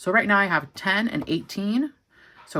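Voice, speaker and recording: In a very clean recording with a silent background, a woman with vocal fry speaks at a medium pitch. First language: Spanish learned first, now less fluent. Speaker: journaling and stationery YouTuber. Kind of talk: casual craft tutorial and review. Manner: casual, with frequent fillers.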